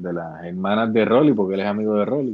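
This man's voice sits at a fairly low pitch. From Puerto Rico, Bayamón. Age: 40s. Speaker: actor. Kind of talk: interview.

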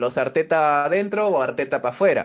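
A man in a normal speaking voice, pitched fairly high with ordinary pitch variation, at a fairly quick pace, in a very clean recording with a silent background. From Peru, Callao. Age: 30s. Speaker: youtuber and football commentator. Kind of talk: casual interview.

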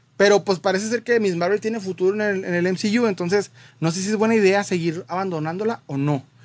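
A man's high-pitched voice at a fairly quick pace, with fairly even intonation. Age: 20s. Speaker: collectibles youtuber. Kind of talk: livestream Q&A chat.

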